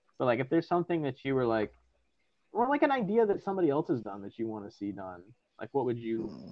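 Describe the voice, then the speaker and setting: Speaking at a very fast pace, a man at medium pitch makes very wide pitch swings. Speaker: podcast host. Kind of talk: casual chat.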